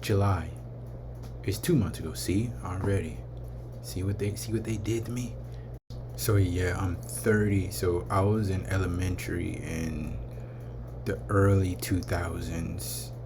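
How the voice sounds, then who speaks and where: A man with an American accent speaks at a fairly slow pace, with very deep, low pitch, vocal fry and very wide pitch swings. His long, frequent pauses sit in audible room echo. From California, Vallejo. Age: 30s. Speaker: vlogger. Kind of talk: casual vlog rant.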